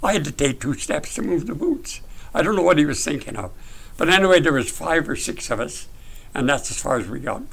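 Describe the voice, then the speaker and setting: Vocal fry marks a man's voice as he speaks at a fairly quick pace. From northern British Columbia, Canada. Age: 80s+. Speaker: author and retired mill/bush worker. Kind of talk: casual interview, storytelling. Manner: jokey, humorous.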